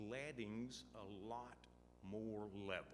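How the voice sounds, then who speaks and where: Room echo is audible here. A man speaks in an American accent. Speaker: state transportation official. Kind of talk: conference panel talk. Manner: slow.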